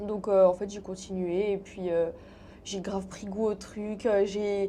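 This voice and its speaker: In a monotone, flat intonation, a woman speaks at a moderate pace. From Paris, France. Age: 20s. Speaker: content creator. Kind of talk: interview. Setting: studio. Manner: casual, many fillers.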